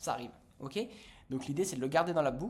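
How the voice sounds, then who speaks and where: A man with a fairly high pitch talks in an animated tone with ordinary pitch variation. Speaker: business coach. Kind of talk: tutorial. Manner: fast.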